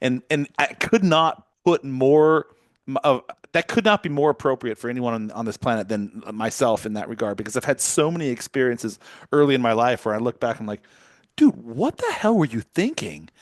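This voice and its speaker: Against a quiet background, a man with an ordinary speaking voice talks at a fairly quick pace, medium in pitch with lively intonation, in a dry, close sound with no echo. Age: 50s. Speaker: podcast host. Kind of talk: interview.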